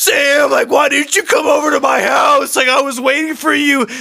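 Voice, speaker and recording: Shouting at a moderate pace, a man puts on a character voice with an extremely high pitch. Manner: passionate, upset.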